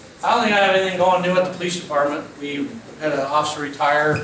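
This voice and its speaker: A man talking very fast with fairly even intonation, amid audible room echo and noticeable background noise. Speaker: police chief. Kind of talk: public forum update. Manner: loud.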